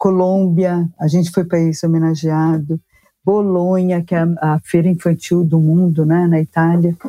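Her dark, mellow voice sits fairly low for a woman, delivered in a monotone, flat intonation at a moderate pace, with a dry, close sound, no echo and very even loudness. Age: 60s. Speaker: publishing executive. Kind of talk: casual interview. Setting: video call.

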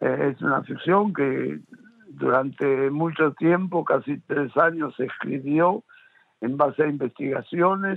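At a very slow pace, a man talks at a fairly high pitch with ordinary pitch variation. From Argentina. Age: 70s. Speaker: media producer and businessman. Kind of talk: interview. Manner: halting, many fillers.

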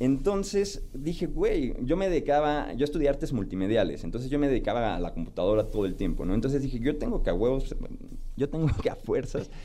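At a fairly quick pace, a man with a fairly high pitch swings it very widely amid audible room echo. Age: 30s. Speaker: TikTok content creator. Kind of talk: radio interview.

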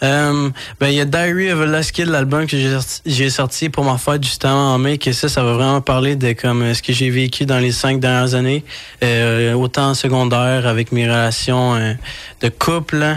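Using a normal speaking voice, a man of medium pitch talks at a moderate pace, with fairly even intonation and very even loudness. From Quebec. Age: young. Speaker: rapper. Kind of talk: radio interview.

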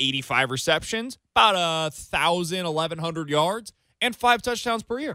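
On a very clean recording with a silent background, a man uses a raised, projected voice with very wide pitch swings. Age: 20s. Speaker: sports radio host. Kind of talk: sports talk radio.

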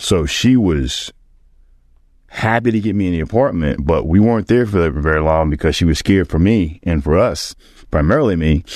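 Against a quiet background, a man with a very deep, low pitch speaks with lively intonation. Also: moderate pace. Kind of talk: personal storytelling with faith reflection, a conversational retelling of his own life. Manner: conversational.

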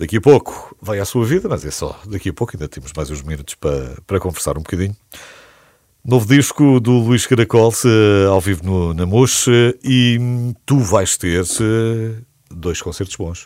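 With fairly low pitch and lively intonation, a man talks at a moderate pace. He leaves long, frequent pauses. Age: 50s. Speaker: radio host. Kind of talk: interview.

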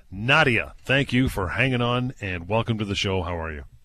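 Against a quiet background, a man speaks in a bright, sharp, energetic tone. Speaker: radio host. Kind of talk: radio call-in show. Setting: radio studio.

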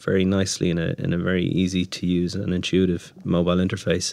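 In an Irish accent, a man with a very deep, low pitch speaks at a fairly quick pace in a monotone, flat intonation. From Ireland. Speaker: startup founder. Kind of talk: interview. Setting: studio. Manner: hesitant, many filler words.

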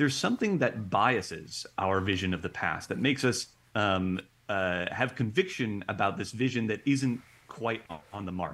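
Fairly low in pitch, this man has an unremarkable speaking voice with an American accent, ordinary pitch variation and a moderate pace. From Ohio, US Midwest. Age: 30s. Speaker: experimental psychologist. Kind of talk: interview.

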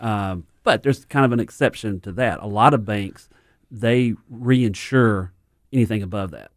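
Using a normal speaking voice, a man of medium pitch speaks at a moderate pace with ordinary pitch variation and big swings in loudness. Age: 50s. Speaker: financial advisor. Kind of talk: casual chat. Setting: studio.

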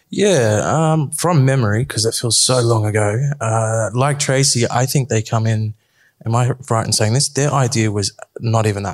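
Somewhat breathy, a man with an Australian accent speaks at a moderate pace and medium pitch, with ordinary pitch variation and very even loudness. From Sydney, Australia. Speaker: film producer. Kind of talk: panel discussion. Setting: stage with audience.

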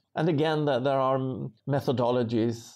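Against a quiet background, a man with a Swedish accent talks at a moderate pace. His medium pitch shows ordinary variation. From rural Sweden. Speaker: social entrepreneur and author. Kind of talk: interview.

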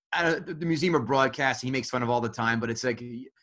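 A bright, sharp tone with an American accent and ordinary pitch variation. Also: man. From New Jersey. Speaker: comedy podcast producer. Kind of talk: casual chat.

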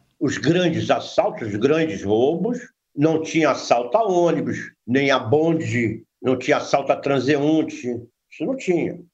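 A man speaks at a fairly slow pace with a fairly high pitch and vocal fry. His intonation is lively. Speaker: veteran crime reporter. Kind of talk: interview.

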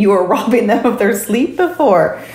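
Noticeable background noise and audible room echo surround a woman speaking at a moderate speed. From Jamaica. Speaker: pediatric sleep consultant. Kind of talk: interview.

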